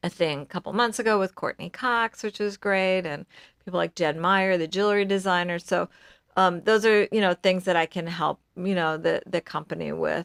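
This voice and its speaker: A woman with a plain, everyday voice talks at a moderate pace, with medium pitch and fairly even intonation. The recording is very clean with a silent background, and the sound is dry and close with no echo. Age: 60s. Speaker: business founder. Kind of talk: interview. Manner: casual, many fillers.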